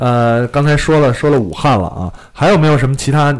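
A man talks at a fairly quick pace with lively intonation. Noticeable background noise runs underneath. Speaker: podcast host. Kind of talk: casual chat. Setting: live-streamed studio recording. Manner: fast talker, animated.

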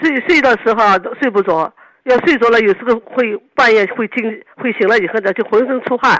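A woman at a fairly high pitch and fairly quick pace, with ordinary pitch variation. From Yangzhou, Jiangsu, China. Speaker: radio call-in listener. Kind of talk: phone-in health consultation. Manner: halting, repeating words.

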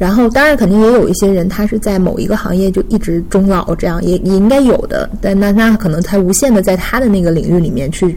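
A woman at a very fast pace, hardly any pauses, very even loudness, audible room echo and noticeable background noise. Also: medium pitch for a woman, ordinary pitch variation. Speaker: marketing professional. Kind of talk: casual chat.

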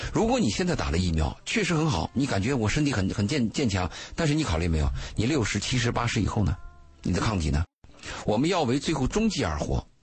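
A man's medium-pitched voice with vocal fry, very wide pitch swings, very even loudness and a very fast pace. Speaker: radio commentator. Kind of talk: radio talk show. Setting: studio. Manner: opinionated.

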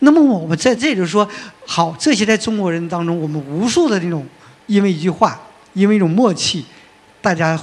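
A voice with ordinary pitch variation moves at a fairly quick pace over noticeable background noise. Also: man. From Northeast China. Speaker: film magazine editor and panel moderator. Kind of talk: panel discussion. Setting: stage with audience.

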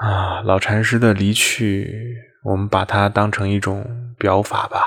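A man's fairly low, bright and sharp voice at a very slow pace in a flat monotone. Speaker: Buddhist monastic and podcast host. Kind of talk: memorial monologue. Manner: low, subdued tone.

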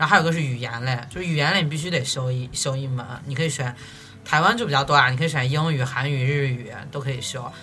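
The speaker rushes along at a very fast pace while music plays in the background. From Xi'an, China. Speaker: recent graduate, former exchange student. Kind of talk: casual chat. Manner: halting.

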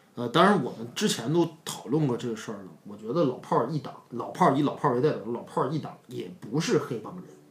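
With a northeastern Chinese accent, the speaker rushes along at a very fast pace with lively intonation and hardly any pauses. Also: man, medium pitch for a man, big swings in loudness. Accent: Northeast Chinese. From Northeast China. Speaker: film commentator. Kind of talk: casual chat.

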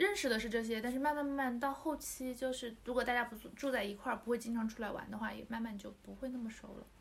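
Talking at a very fast pace with hardly any pauses, a woman uses a high pitch and ordinary pitch variation. Her loudness swings widely. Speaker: former overseas student. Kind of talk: casual chat.

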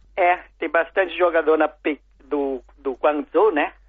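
A man with a Chinese accent at a fairly high pitch and a moderate pace. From China. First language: Chinese (speaking Portuguese). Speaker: food importer. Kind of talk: interview. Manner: halting.

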